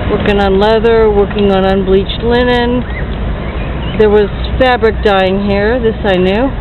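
Over noticeable background noise, a woman speaks at a fairly slow pace in a flat monotone, with long, frequent pauses and a dry sound with no echo. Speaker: video blogger. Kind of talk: casual walking vlog monologue. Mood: chatty, opinionated. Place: street. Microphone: phone near.

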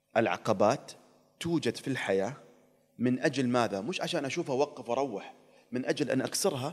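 With lively intonation, a medium-pitched man talks at a moderate speed. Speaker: TV presenter and traveler; TV presenter. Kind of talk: casual interview chat. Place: studio. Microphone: studio mic.

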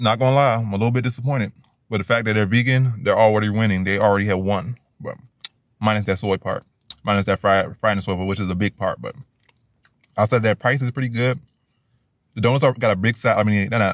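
A man talks at a very fast pace with a fairly low pitch and fairly even intonation. The background is quiet and the sound is dry with no echo. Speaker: food reviewer. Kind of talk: casual vlog chat. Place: car. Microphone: phone near.

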